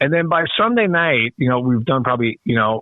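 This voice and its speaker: Fairly quick in pace, a man with a plain, everyday voice speaks at medium pitch with ordinary pitch variation. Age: 60s. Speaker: rock guitarist. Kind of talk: casual interview. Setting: phone call.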